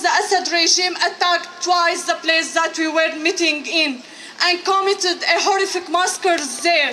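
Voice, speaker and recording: Through noticeable background noise, a woman's raised, projected voice sits at an extremely high pitch. She goes at a fairly slow pace with fairly even intonation. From Syria. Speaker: refugee artist and activist. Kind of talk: prepared testimony speech. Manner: halting, occasional restarts.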